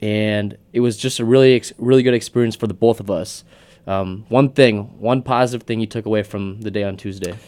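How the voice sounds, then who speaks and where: This man speaks at a fairly quick pace in an ordinary speaking voice. His pitch sits fairly low, and his intonation stays fairly even. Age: 20s. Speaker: podcast co-host. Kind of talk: casual chat.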